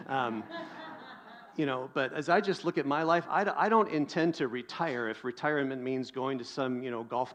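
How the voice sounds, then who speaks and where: This is a man with a plain, everyday voice. His medium pitch shows ordinary pitch variation. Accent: American. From US Pacific Northwest. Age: 50s. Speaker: pastor. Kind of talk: sermon.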